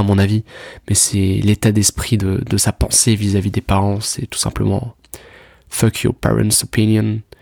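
A man with a fairly low pitch talks at a fairly slow pace with fairly even intonation, in a dry, close sound with no echo on a very clean recording with a silent background. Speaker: self-improvement podcaster. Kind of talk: casual monologue. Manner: halting, repeats words.

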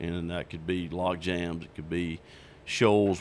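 A man with a Southern US accent and a very deep, low pitch talks at a moderate pace. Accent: Southern US (Georgia). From South Georgia, US. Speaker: fly shop owner and fishing guide. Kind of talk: casual interview. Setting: in person at his fly shop.

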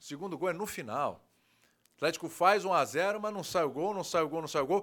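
A man's high voice with ordinary pitch variation, very cleanly recorded over a silent background. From Brazil, Santos (São Paulo state). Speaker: sports TV host. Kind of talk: casual chat.

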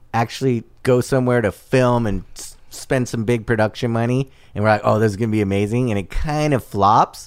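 An unremarkable speaking voice from a man at medium pitch, fairly even in intonation and fairly quick in pace, on a very clean recording with a silent background. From Southern California, South Bay (Torrance). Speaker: restaurant owner. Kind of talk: casual chat.

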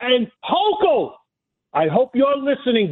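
A man with a Brooklyn accent speaks at a fairly slow pace. His pitch is extremely high. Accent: New York (Brooklyn). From New York City (Brooklyn, Flatbush). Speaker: caller. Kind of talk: heated call-in rant. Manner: loud; passionate.

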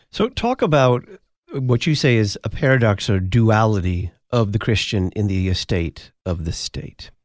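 An ordinary speaking voice moves at a fairly slow pace with ordinary pitch variation and a dry, close sound with no echo. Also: man, medium pitch for a man. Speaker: radio host. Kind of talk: radio interview. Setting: studio.

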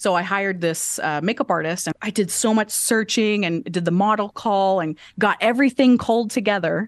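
A woman with an American accent speaks at a fairly quick pace with ordinary pitch variation, in a plain, everyday voice. The sound is dry and close with no echo, over a quiet background. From Oklahoma (Enid). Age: 30s. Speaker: lash artist and creative director. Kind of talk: interview conversation.

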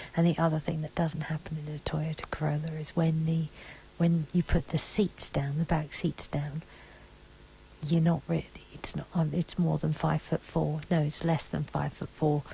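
A quiet voice amid noticeable background noise. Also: moderate pace. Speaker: podcast host. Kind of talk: audio diary. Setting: in a car.

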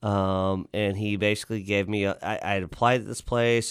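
A man with a Texan accent, fairly low in pitch and flat in a monotone, at a fairly quick pace in a very clean recording with a silent background. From Central Texas (Lockhart). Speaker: restaurant general manager. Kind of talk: interview. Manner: halting, frequent repetitions.

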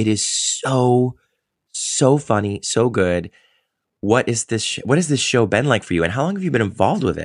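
A man with a plain, everyday voice at medium pitch, moderate pace and lively intonation, over a quiet background. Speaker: podcast host and stage actor. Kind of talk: casual interview chat.

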